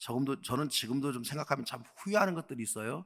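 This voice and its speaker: On a very clean recording with a silent background, a man with an unremarkable speaking voice talks fairly quickly at a fairly high pitch with ordinary pitch variation. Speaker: pastor. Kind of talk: sermon.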